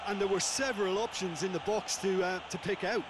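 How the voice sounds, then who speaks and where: The man's voice sits high in pitch, with fairly even intonation. Noticeable background noise runs beneath it. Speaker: football co-commentator. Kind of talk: live football match co-commentary, analytical expert breakdown. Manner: analytical and measured, with small hesitations and repeated words.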